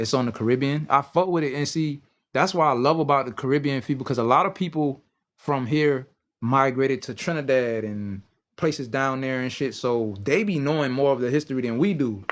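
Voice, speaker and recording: With an American accent, a man of medium pitch talks at a fairly quick pace, his pitch varying in an ordinary way. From US South, South Carolina Lowcountry (Beaufort County), Gullah Geechee. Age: 30s. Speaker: tarot reader. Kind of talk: casual live-stream chat.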